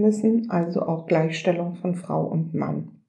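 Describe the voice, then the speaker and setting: In a plain, everyday voice, a woman speaks fairly slowly with ordinary pitch variation. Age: 60s. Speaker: local politician. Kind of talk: prepared interview answers.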